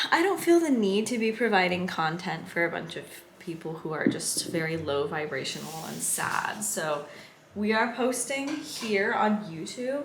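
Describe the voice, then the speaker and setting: A woman with an American accent talks at a moderate pace and medium pitch. Her pitch swings very widely, and background noise is noticeable. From San Diego, California. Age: 20s. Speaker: surfer and vlogger. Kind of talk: casual talk to camera.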